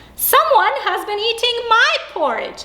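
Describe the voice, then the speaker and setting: A woman uses a put-on character voice, squeaky and extremely high-pitched. She speaks at a fairly slow pace. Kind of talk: bedtime story. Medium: read story.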